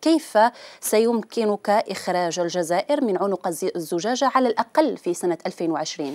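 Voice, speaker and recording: Against a quiet background, a woman speaks at a fairly slow pace. Her intonation is lively. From Algeria. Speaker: TV interviewer. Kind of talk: political interview. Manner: formal. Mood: formal, composed. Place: studio. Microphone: lapel.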